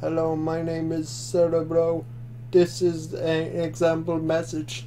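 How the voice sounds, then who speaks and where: Putting on a character voice, a man speaks at a fairly slow pace and a fairly high pitch over clear background noise. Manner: robotic.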